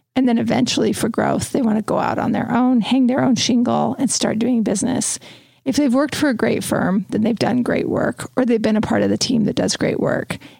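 Background noise is noticeable as a woman speaks at a fairly quick pace. Her loudness stays very even and her intonation fairly even. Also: fairly high pitch for a woman. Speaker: interior design podcast host. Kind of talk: casual chat.

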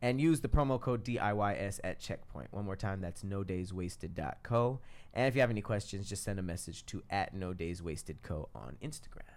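Lively intonation at a moderate pace in a normal speaking voice. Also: man, fairly low pitch for a man. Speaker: podcast co-host. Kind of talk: casual chat.

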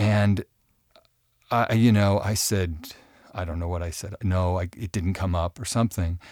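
This man has a very deep, low voice and a fairly even intonation, speaking at a moderate pace with long, frequent pauses. The recording is very clean with a silent background, and the sound is dry and close with no echo. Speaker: advice podcast co-host. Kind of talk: casual chat. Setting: studio.

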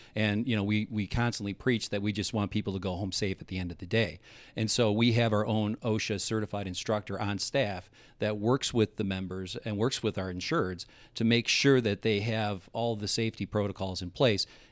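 In a very clean recording with a silent background, a man with a fairly low pitch speaks at a fairly quick pace with fairly even intonation in a plain, everyday voice. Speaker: insurance agent. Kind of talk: casual interview chat. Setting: studio.

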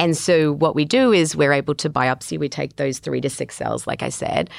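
Moderate pace from a woman in an Australian accent. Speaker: reproductive geneticist. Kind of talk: expert interview.

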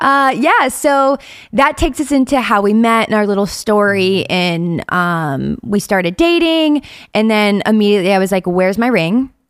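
Recorded very cleanly against a silent background, a woman with an American accent speaks in a fairly high voice that makes very wide pitch swings at a very even loudness. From US Midwest, Ohio. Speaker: podcast co-host, social media creator. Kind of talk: casual chat. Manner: talkative, fast talker.

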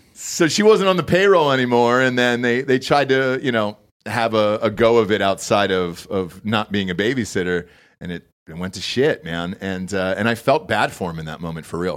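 With an American accent and a plain, everyday voice, a man at medium pitch talks at a moderate pace, his intonation lively and his loudness swinging widely, on a very clean recording with a silent background. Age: 30s. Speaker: podcast host. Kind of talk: casual chat. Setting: studio.

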